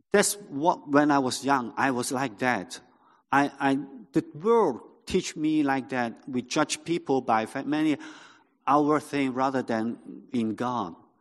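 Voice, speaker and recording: In a Cantonese accent, a man speaks at a fairly high pitch and a fairly slow pace, with ordinary pitch variation over a quiet background. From Hong Kong. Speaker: pastor. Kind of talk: sermon. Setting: church. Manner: halting.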